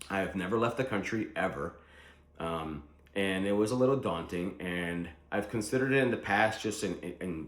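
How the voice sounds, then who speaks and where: In a room with audible echo, a man talks at a moderate pace with a fairly low pitch and ordinary pitch variation. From Philadelphia, US (Puerto Rican born). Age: 40s. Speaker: vlogger planning to move abroad. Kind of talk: casual vlog monologue. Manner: conversational with frequent fillers.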